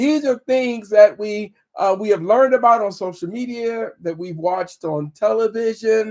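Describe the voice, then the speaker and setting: Sounding animated, a man with a high voice speaks with hardly any pauses and ordinary pitch variation. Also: moderate pace. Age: 60s. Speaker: relationship and marriage coach. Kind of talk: live stream talk. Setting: live stream on social media. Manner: animated, repetitive exhortation.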